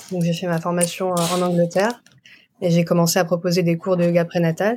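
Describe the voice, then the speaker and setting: Very clean, with a silent background, the recording captures a woman's medium-pitched voice. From France. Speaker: doula and osteopath. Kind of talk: interview.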